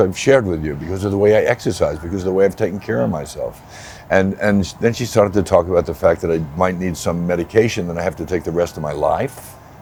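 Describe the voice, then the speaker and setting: Noticeable background noise sits behind a man with a very deep, low voice. He talks at a fairly quick pace. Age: 70s. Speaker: patient, actor and producer. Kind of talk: personal testimony interview.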